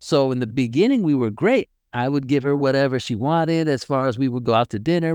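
A man's plain, everyday voice with an American accent, fairly high in pitch with ordinary pitch variation, at a moderate pace, in dry, close sound with no echo and a quiet background. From United States. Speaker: podcast co-host, military veteran. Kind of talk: casual chat.

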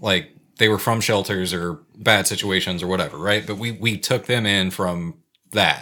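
On a very clean recording with a silent background, a man with an American accent uses a fairly low pitch, a bright, sharp tone and fairly even intonation. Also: moderate pace. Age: 30s. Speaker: podcast co-host. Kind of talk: casual chat.

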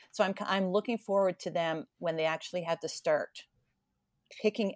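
In an ordinary speaking voice, a woman talks at a moderate pace with ordinary pitch variation, the sound dry and close with no echo. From Ontario, Canada. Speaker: podcast host. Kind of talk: casual chat.

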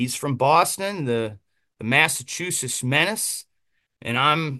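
Against a quiet background, a man with an American accent and a bright, sharp tone talks at a very slow pace with lively intonation. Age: 30s. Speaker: pro wrestler. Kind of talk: casual interview.

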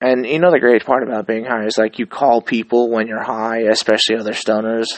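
A man talks at a fairly quick pace and medium pitch. It is a normal speaking voice. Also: fairly even intonation. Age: 30s. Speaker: podcast host. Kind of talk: casual monologue.

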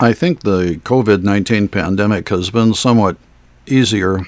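A man at a very slow pace with ordinary pitch variation. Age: 70s. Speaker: solo podcaster. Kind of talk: casual monologue. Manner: halting, many filler words.

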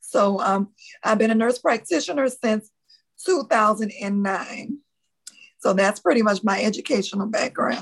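In a Louisiana accent, a woman with a fairly high, somewhat breathy voice speaks at a fairly slow pace with ordinary pitch variation. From US South, New Orleans, Louisiana. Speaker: nurse practitioner and author. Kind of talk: interview.

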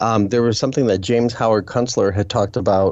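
A man with an unremarkable speaking voice talks at a fairly quick pace. His pitch is medium, with ordinary variation. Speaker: co-host, writer on skepticism. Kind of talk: casual chat.

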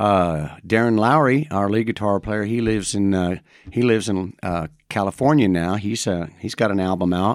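A man's normal speaking voice, fairly low in pitch, with an American accent, ordinary pitch variation and a moderate pace, on a very clean recording with a silent background. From Madison, Indiana (US Midwest). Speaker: singer-songwriter. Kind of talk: casual interview chat.

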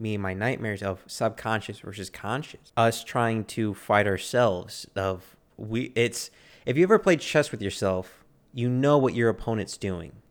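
Captured on a very clean recording with a silent background, the voice shows ordinary pitch variation. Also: man. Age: 30s. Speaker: podcast co-host. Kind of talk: casual chat. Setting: backyard.

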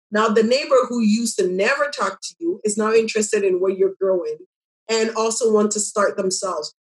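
A plain, everyday voice from a woman, fairly high in pitch, fairly quick in pace, with ordinary pitch variation. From Ghana, moved to Canada as a child. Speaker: community farm director and food justice activist. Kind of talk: interview.

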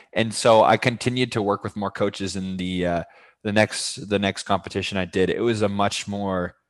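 In a very clean recording with a silent background, a man speaks at a moderate pace and a fairly low pitch. He uses a normal speaking voice with fairly even intonation. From Massachusetts (Fitchburg). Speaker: fitness coach. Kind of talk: interview.

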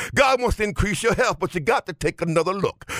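A man talks in an animated tone at a high pitch. Noticeable background noise can be heard behind him. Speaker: preacher. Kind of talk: sermon. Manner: animated, call-and-response; rhythmic, exhorting congregation.

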